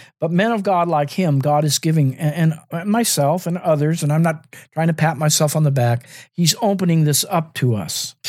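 A man speaks in an unremarkable speaking voice with a fairly high pitch and ordinary pitch variation. His pace is moderate, and the recording is very clean with a silent background. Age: 60s. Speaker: podcast host and minister. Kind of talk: teaching monologue.

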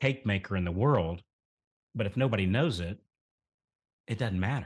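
Over a quiet background, a somewhat breathy man with a Southern US accent talks at a fairly low pitch and a fairly quick pace. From US South, rural central Florida. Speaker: mortgage marketing coach. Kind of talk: interview.

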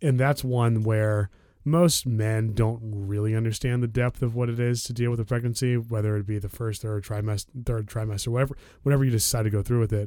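In a plain, everyday voice with an American accent, a man at medium pitch talks at a fairly quick pace with fairly even intonation. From DC area, Maryland suburbs. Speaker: podcast host. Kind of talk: casual chat. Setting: at home.

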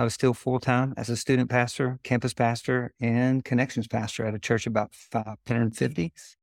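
The speech comes at a moderate pace with monotone, flat intonation. The sound is dry and close with no echo, on a very clean recording with a silent background. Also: man. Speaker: former pastor turned pressure washing business owner. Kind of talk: casual interview.

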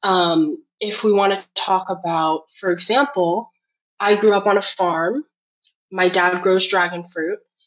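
At a fairly slow pace, a woman with an unremarkable speaking voice talks at medium pitch with ordinary pitch variation. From Florida, US, Haitian family. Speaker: playwright. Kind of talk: interview conversation.

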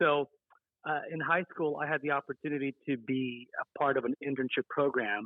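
A man with an American accent has a plain, everyday voice. His pitch is medium and his intonation fairly even. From US West, Las Vegas, Nevada. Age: 30s. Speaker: bank executive and community organization president. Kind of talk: interview.

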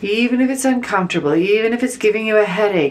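A woman's calm, soothing tone with lively intonation over noticeable background noise. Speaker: spiritual healer leading meditation. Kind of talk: guided meditation. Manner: slow, soft, calm with long pauses; soothing, gentle, instructive.

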